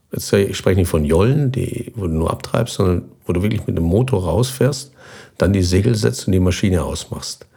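Over noticeable background noise, a man talks at a fairly quick pace. His voice is fairly low, with lively intonation. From southern Germany, near Basel on the Swiss border. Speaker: expedition sailor and former navy navigator. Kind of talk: interview.

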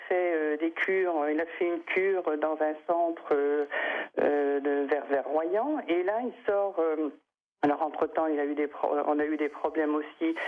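Speaking very slowly with long, frequent pauses, a woman uses a very deep, low pitch. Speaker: caller, mother. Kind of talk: radio call-in.

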